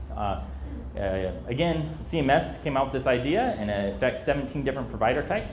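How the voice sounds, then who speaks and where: Amid noticeable background noise and audible room echo, a man speaks at a fairly quick pace. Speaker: emergency preparedness trainer. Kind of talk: training presentation. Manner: fast.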